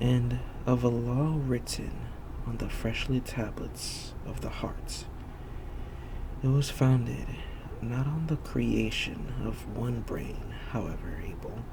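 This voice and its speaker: A man's very slow speech with long, frequent pauses over noticeable background noise. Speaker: ASMR reader. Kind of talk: soft-spoken ASMR book reading. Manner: soft-spoken, not whispered.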